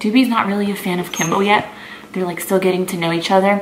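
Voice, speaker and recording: A woman with an American accent at a fairly quick pace, fairly even intonation, noticeable background noise and audible room echo. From South Florida, US. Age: 20s. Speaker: fitness model and vlogger. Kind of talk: casual Q&A vlog.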